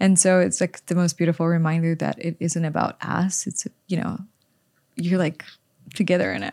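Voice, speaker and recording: With a Polish accent, a woman speaks at a moderate pace in a fairly low voice with a dark, mellow tone and fairly even intonation. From Poland. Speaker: author and influencer. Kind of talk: casual interview conversation. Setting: studio.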